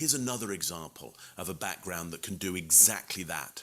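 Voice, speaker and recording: A man with a London accent, a bright, sharp, animated tone and a moderate pace. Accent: British (London). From England, London. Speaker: communication expert and keynote speaker. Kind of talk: presentation tutorial to camera. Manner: conversational, animated.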